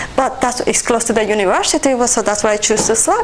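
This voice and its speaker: Over noticeable background noise, a woman talks at a very fast pace in a Puerto Rican accent. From Puerto Rico. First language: Spanish. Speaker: nurse and army veteran. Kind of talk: personal testimony.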